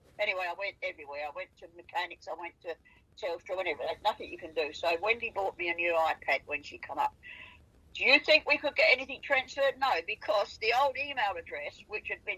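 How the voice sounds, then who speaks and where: Very wide pitch swings in a bright, sharp tone at a fairly quick pace. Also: woman. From South Australia. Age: 80s+. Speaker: farmer recalling wildlife sightings. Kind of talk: casual chat. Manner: animated.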